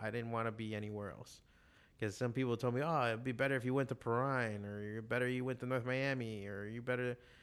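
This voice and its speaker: A silent background and a very clean recording, with fairly quick delivery. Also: man. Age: 40s. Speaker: comic book artist. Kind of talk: casual chat. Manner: animated.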